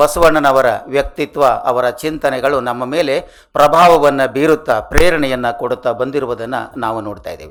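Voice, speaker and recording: In an ordinary speaking voice, a man with a fairly high pitch speaks with fairly even intonation and big swings in loudness. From northern Karnataka (Haveri district). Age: 60s. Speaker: retired college principal and scholar. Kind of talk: award acceptance speech. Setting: stage with audience. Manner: formal.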